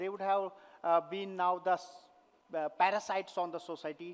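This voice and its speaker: The man's voice sits high in pitch. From Kashmir, India. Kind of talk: inspirational talk. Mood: earnest, emotional. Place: stage. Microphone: headset.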